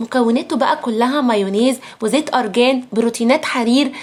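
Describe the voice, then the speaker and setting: Noticeable background noise accompanies a woman with a high pitch. She speaks in an animated tone at a moderate pace. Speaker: beauty product influencer. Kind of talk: sales pitch. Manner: lowered voice.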